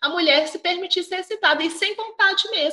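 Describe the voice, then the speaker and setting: Her voice is raised and projected. The woman's tone comes across bright and sharp. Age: 40s. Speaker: sex coach. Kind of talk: casual interview chat.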